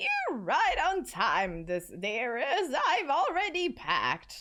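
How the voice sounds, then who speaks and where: A woman uses a put-on character voice with extremely high pitch. She speaks at a very slow pace. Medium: game stream. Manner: calm, affectionate, cryptic.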